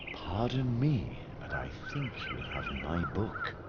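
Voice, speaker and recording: Someone speaks in a put-on character voice at a fairly slow pace. Loud background noise fills the recording. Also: man, medium pitch for a man. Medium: machinima. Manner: polite, soft-spoken.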